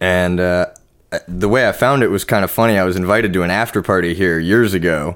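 With a Californian accent, a man talks at a very fast pace in a very deep, low pitch and fairly even intonation, on a very clean recording with a silent background. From Orange County, California. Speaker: metal artist and podcast co-host. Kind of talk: casual chat.

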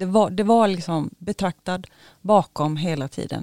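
A woman's fairly low, dark, mellow voice at a moderate pace, dry and close with no echo, on a very clean recording with a silent background. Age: 40s. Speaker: dental hygienist, overnight ghost-hunt participant. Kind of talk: casual interview.

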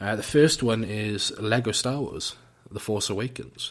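A man with a British accent, medium in pitch, talking at a fairly slow pace with ordinary pitch variation. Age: 20s. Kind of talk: casual solo talk. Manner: hesitant, filler-heavy.

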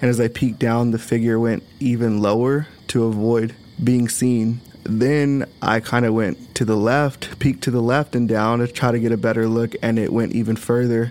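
A man with an American accent, medium-pitched, at a moderate pace, flat and monotone, with very even loudness. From South Texas. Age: 20s. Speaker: interviewee recounting a ghost experience. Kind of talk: testimony.

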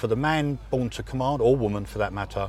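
A man talks at a fairly quick pace with an English accent. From England. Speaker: falconer. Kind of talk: interview.

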